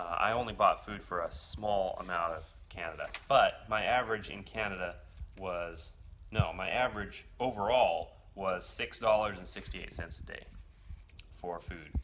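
Over light background noise, a man talks at a moderate pace with big swings in loudness. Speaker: motorcycle traveler vlogger. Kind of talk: casual vlog chat. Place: home room. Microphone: phone near.

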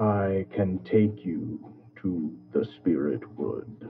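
A man speaks in a put-on character voice. His pitch is fairly low and his pace very slow.

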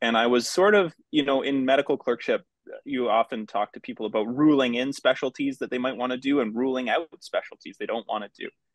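At a fairly quick pace, a man uses an ordinary speaking voice at medium pitch, with ordinary pitch variation. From Newfoundland, Canada. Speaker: palliative care physician. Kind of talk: interview conversation. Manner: thoughtful, reflective.

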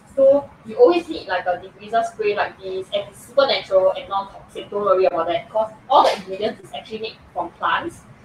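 At a fairly quick pace with few pauses, a woman speaks at medium pitch with ordinary pitch variation and a husky, rough edge.

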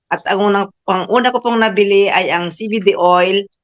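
This woman has a medium pitch and fairly even intonation. She speaks at a moderate pace. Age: 60s. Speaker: supplement customer. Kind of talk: testimony.

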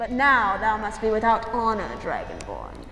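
Hissing through a menacing, put-on character voice, a female-sounding speaker is heard with clear background noise and a clear echo. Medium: stage play. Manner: menacing, seductive.

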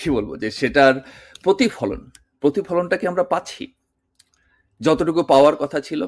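Lively intonation with vocal fry, on a very clean recording with a silent background. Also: man, fairly high pitch for a man, dry, close sound with no echo. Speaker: political commentator. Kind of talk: video monologue.

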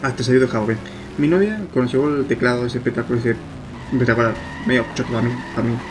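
Over noticeable background noise, a man speaks at a very fast pace with ordinary pitch variation. He leaves long, frequent pauses. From Argentina. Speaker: gaming youtuber. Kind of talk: let's play commentary. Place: home room. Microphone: problems with USB microphone.

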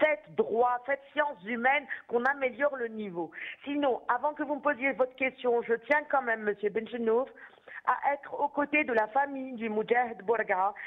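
Here is a woman with a high pitch and ordinary pitch variation. She keeps a moderate pace. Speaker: doctor and pro-democracy activist. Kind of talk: political talk show debate. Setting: phone call.

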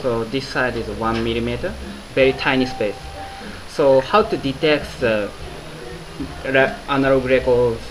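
Against noticeable background noise, a man speaks at a fairly slow pace with ordinary pitch variation and long, frequent pauses. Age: 20s. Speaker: engineer, cartridge developer. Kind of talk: interview answer. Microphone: phone near.

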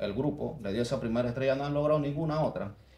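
A man's dark, mellow voice with ordinary pitch variation, audible room echo and light background noise. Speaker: sports podcast host. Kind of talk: interview. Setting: studio. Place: studio.

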